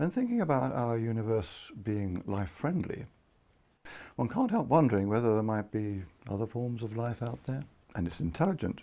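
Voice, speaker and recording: Soft-spoken and dark, mellow in tone, a man talks at a moderate pace and medium pitch with lively intonation, on a very clean recording with a silent background. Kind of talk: sleep story.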